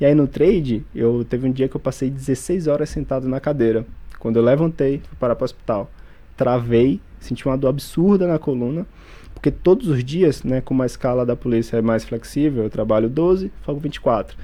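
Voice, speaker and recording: A man speaks at a moderate pace in a medium pitch, with an unremarkable speaking voice and ordinary pitch variation. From Bahia, Brazil (Feira de Santana). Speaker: police officer and day trader. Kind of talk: interview testimony.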